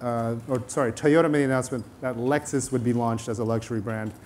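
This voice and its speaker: Light background noise runs behind a man's voice. His intonation stays fairly even. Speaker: panel moderator. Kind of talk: panel moderation. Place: hall. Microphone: lapel.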